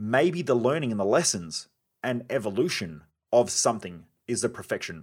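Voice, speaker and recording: In a very clean recording with a silent background, a man speaks with an Australian accent. His medium-pitched voice makes very wide pitch swings. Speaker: podcast host and performance coach. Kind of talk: solo podcast monologue. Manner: fast.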